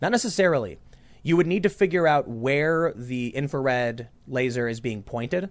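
Using a plain, everyday voice, a man talks at a moderate pace with a fairly high pitch and lively intonation. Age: 30s. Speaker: political commentary podcast host. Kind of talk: casual chat; reading aloud. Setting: studio.

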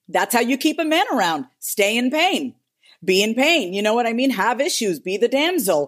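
A woman with a fairly high pitch speaks at a moderate pace, her pitch swinging very widely. Her tone is animated, and the recording is very clean with a silent background. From New York, Indian immigrant family. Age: 30s. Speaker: therapist and business strategist. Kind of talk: casual chat.

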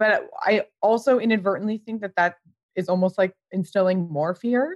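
In a Californian accent, a woman talks at a moderate pace and medium pitch, with a dry, close sound, no echo and a quiet background. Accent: General American, Californian. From US West Coast, Pasadena, California. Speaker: fashion creative director and brand founder. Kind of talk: casual interview chat.

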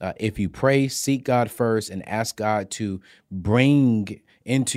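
The man's pitch varies in an ordinary way. The background is silent and the recording very clean. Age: 30s. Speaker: personal finance expert. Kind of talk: casual interview. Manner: loud; high-energy.

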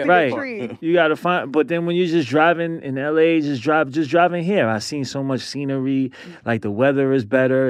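A man with a New York accent at a moderate pace. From born in Brooklyn, lives in Queens, New York. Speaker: podcast guest.

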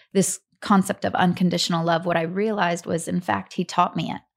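A woman speaks with an American accent in an unremarkable speaking voice, her pitch fairly low and her intonation fairly even. She keeps a moderate pace on a very clean recording with a silent background. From US South (Atlanta, Georgia). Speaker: storyteller and workshop leader. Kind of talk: interview.

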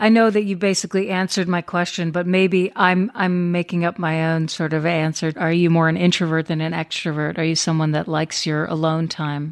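A woman has a plain, everyday voice, fairly low in pitch. She talks at a fairly quick pace with fairly even intonation and hardly any pauses. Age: 40s. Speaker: podcast host. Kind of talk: interview.

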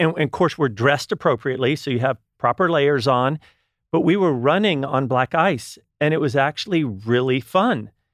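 This man has a plain, everyday voice. His pitch is fairly high, with ordinary variation. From Texas. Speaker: wellness retreat co-founder. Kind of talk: casual interview.

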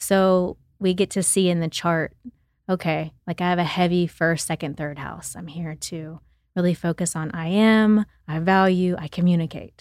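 Someone speaks with an American accent at a moderate pace, in a monotone, flat intonation. The recording is very clean, with a silent background. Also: woman, fairly low pitch for a woman. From Oklahoma. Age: 30s. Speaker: evolutionary astrologer. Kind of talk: casual chat.

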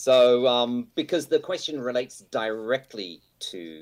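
This man talks at a moderate pace in a medium pitch. He has an Australian accent. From Australia, Brisbane. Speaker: online forum moderator. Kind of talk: casual chat. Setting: video call.

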